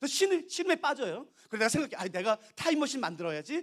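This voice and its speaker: The voice rushes at a very fast pace in an animated tone with very wide pitch swings. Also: man. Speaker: pastor. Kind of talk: sermon.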